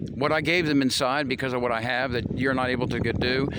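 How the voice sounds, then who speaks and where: Very fast speech from a man with an American accent at medium pitch, with audible room echo and noticeable background noise. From US Midwest, Missouri. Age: 50s. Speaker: vlogger. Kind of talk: monologue to camera. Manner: animated.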